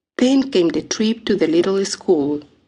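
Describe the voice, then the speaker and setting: Very slowly, a woman speaks in a strong non-native accent at a medium pitch. Her tone is dark and mellow, and her intonation is lively. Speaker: audiobook narrator. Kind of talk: audiobook memoir reading.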